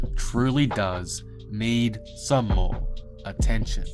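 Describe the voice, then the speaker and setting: A man is speaking. Music plays in the background. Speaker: NBA YouTuber. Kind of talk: sports commentary narration.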